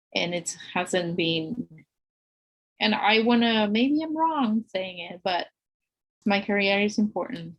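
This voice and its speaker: In a Spanish accent, a woman with a somewhat breathy, medium-pitched voice speaks at a very slow pace with lively intonation and long, frequent pauses. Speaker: architect. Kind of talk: podcast interview.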